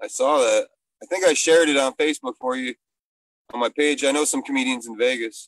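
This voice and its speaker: In an ordinary speaking voice, a man with an American accent talks at a fairly quick pace with fairly high pitch and fairly even intonation, in a dry, close sound with no echo. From Michigan. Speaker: comedian and bartender. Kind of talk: casual chat. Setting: video call, outdoors.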